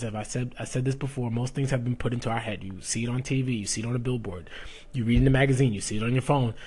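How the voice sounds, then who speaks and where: Somewhat breathy, the voice races along at a very fast pace with fairly even intonation. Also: man. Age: 20s. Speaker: fitness coach and podcast host. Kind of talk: casual solo podcast monologue.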